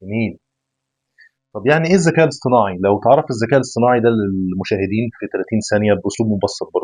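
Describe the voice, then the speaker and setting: A man talks at a very fast pace with lively intonation. His pitch is medium. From Egypt. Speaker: podcast host. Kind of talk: casual interview.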